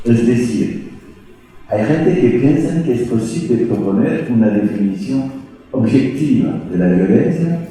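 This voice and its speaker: A man talks in a medium pitch with lively intonation. Noticeable background noise and audible room echo fill the recording. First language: French (speaking Spanish). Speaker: sociology professor. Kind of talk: lecture. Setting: lecture hall at a law faculty. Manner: halting, with hesitations.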